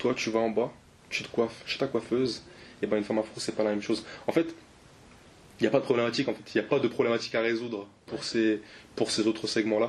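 A man at medium pitch speaks with fairly even intonation. His pace is very fast, with long, frequent pauses. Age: 20s. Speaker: app startup co-founder. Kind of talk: interview.

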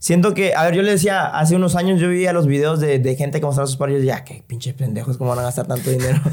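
The speech runs at a very fast pace with hardly any pauses and ordinary pitch variation, over noticeable background noise. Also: man, fairly high pitch for a man. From El Salvador. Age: 20s. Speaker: sneaker enthusiast guest. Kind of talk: casual chat.

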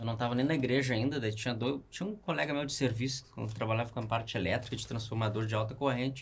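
A man talks at a fairly quick pace and medium pitch. His voice is somewhat breathy. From Canoas, Rio Grande do Sul, Brazil. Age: 30s. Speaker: rock climber. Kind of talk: casual chat. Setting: studio.

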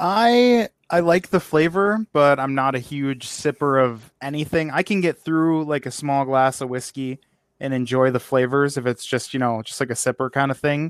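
In a normal speaking voice, a man with fairly high pitch and ordinary pitch variation talks at a moderate pace. The recording is very clean and dry, close, with a silent background and no echo. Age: 20s. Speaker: podcast host. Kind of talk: casual chat.

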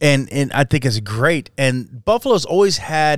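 On a very clean recording with a silent background and a dry, close sound with no echo, a man with an ordinary speaking voice and an American accent speaks at a fairly slow pace, his fairly high pitch moving with lively intonation. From southern Idaho, Jerome. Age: 40s. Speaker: podcast host. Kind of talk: casual chat.

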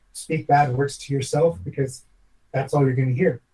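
A dark, mellow, somewhat breathy tone at a fairly quick pace. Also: man. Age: 40s. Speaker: former professional chef. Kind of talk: casual interview chat.

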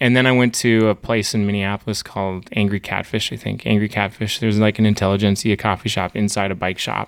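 With a monotone, flat intonation and an Upper Midwest accent, a man speaks at a very fast pace with hardly any pauses on a very clean recording with a silent background. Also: fairly low pitch for a man. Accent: Upper Midwest American. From North Dakota (small town). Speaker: coffee roaster business owner. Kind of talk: interview.

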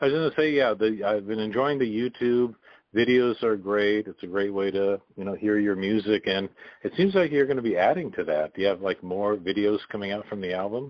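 Speaking at a fairly quick pace in a normal speaking voice, a man uses a fairly low pitch with ordinary pitch variation. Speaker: radio host. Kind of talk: interview. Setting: phone call.

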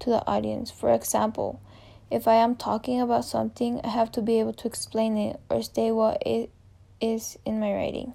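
With a Spanish accent, a woman speaks at a fairly quick pace and fairly high pitch in a dark, mellow tone. The recording is very clean, with a silent background. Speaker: college student. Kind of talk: reading aloud a personal reflection essay.

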